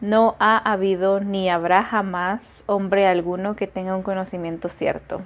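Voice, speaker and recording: This woman speaks at a very slow pace. Her pitch is medium and her intonation monotone and flat. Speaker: book-reading vlogger. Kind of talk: reading aloud with commentary. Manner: halting.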